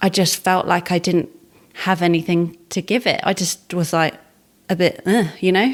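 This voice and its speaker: Here a woman has an ordinary speaking voice and talks at a moderate pace. Her intonation is fairly even and her loudness very even. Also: fairly low pitch for a woman. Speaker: podcast host. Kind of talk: podcast conversation.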